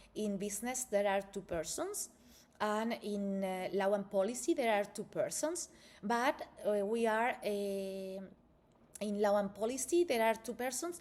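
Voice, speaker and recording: Speaking at a fairly slow pace with a non-native accent, a woman uses lively intonation at a medium pitch. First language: Spanish. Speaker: university researcher. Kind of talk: presentation. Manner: halting.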